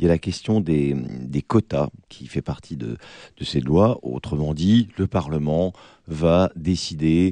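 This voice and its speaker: In a dry, close recording with no echo and a quiet background, a man with a very deep, low pitch and a dark, mellow tone speaks at a very slow pace with ordinary pitch variation. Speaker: radio debate host. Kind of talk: moderated political debate.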